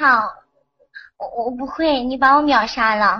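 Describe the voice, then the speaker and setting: A woman speaks at a high pitch and a fairly slow pace. Her pitch varies in an ordinary way, with audible room echo. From Henan, China. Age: young. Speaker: caller. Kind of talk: casual chat.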